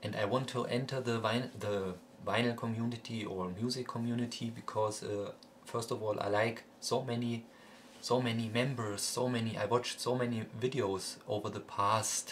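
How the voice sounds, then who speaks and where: In a German accent, a man talks at a moderate pace with a medium pitch and monotone, flat intonation. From Germany. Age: 20s. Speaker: music collector vlogger. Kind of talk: casual vlog monologue. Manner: halting, many fillers and repetitions.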